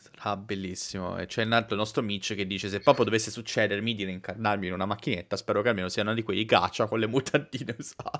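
Against a quiet background, a man with a fairly low pitch talks at a very fast pace with hardly any pauses and fairly even intonation. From Italy. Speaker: anime youtuber host. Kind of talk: casual live chat, joking banter. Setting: online livestream. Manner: jokey, rowdy, vulgar. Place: home room.

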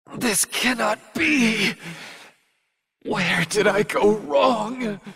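A man's put-on character voice, high in pitch with ordinary variation, fairly bright in tone with a husky, rough edge, at a very slow pace

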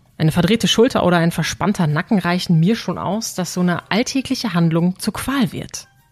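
Music plays behind a woman with a fairly low pitch. She speaks at a fairly quick pace with lively intonation. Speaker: podcast host. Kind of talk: podcast intro narration.

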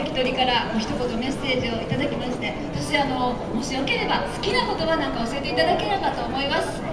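A woman talks at a fairly quick pace. Loud background noise and audible room echo surround her voice. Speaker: event host. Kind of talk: event MC interview. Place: shop.

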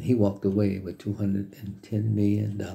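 A man talks at a fairly low pitch. His tone is dark and mellow and somewhat breathy. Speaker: business vlogger. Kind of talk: motivational talk to camera. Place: home room. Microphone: phone near.

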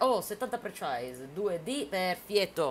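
A woman speaks in an animated tone. Light background noise can be heard. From Sicily (Palermo); Sicily. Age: 20s. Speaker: gaming streamer. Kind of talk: live stream chat while gaming. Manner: quieter than usual, holding back shouting; chatty, animated. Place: home room.

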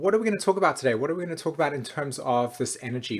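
A man is speaking. Nothing much stirs in the background. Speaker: astrology teacher. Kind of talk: casual lecture to camera. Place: home room. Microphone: webcam.

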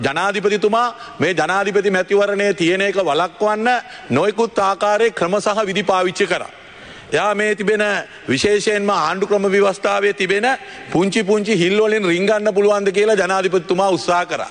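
Very slowly, a man speaks in a high pitch with very even loudness and fairly even intonation. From Sri Lanka. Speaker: opposition politician. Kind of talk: political statement to media. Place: hall. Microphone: podium.

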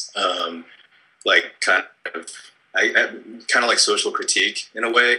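A man with an American accent speaks with long, frequent pauses over a quiet background. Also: moderate pace. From San Francisco Bay Area, California; California. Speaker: film writer-director; interviewee. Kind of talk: interview. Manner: casual, many fillers. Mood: relaxed, amused. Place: home room. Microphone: webcam.

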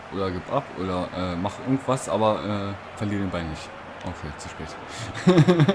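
Over noticeable background noise, a man with a fairly low pitch talks at a fairly slow pace, his loudness swinging widely. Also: ordinary pitch variation. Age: 20s. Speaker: let's play gamer. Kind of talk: live gameplay commentary. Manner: animated, excitable with exclamations.

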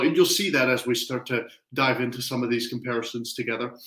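A man's voice carries audible room echo against a quiet background. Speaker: test prep tutor. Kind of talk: lecture. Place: home room. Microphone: headset.

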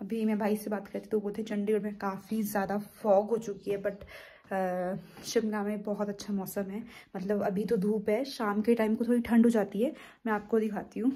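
A woman's dark, mellow, somewhat breathy voice at a moderate pace, flat and monotone in intonation. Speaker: vlogger. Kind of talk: casual vlog chat. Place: home room. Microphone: phone near.

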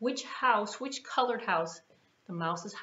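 Lively intonation runs through the delivery. It is plain reading aloud.

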